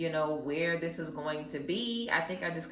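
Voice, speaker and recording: A woman talks at a fairly quick pace in a very deep, low pitch. Background noise is noticeable. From Louisiana. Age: 20s. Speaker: tarot reader and YouTuber. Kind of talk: casual talk to camera while crocheting. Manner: encouraging pep talk.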